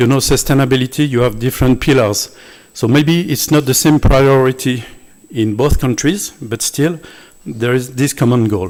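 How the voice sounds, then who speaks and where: A man speaks at a moderate pace with a French accent, his medium pitch showing ordinary variation. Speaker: visiting scientist. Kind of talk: closing remarks speech. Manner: halting.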